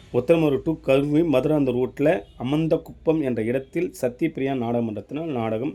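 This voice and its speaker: This man has a plain, everyday voice. His pitch is medium, with ordinary pitch variation. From Tamil Nadu, Tiruvannamalai district. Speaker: drama troupe booking organizer. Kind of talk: announcement.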